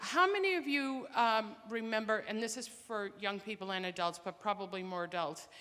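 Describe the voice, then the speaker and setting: A woman talks at a fairly quick pace, her fairly high pitch showing ordinary pitch variation. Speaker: public health program director. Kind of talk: public information talk. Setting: presentation to audience.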